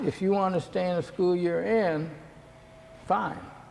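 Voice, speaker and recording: The speaker is a man with a high-pitched voice. There is noticeable noise in the background. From Indianapolis, Indiana. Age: old. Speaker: war veteran. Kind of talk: oral history interview. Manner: halting.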